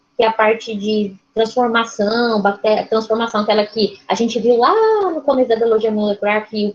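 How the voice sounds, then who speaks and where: With a Brazilian accent, a woman speaks at a fairly high pitch and with fairly even intonation. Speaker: lecturer. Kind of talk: lecture. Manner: fast.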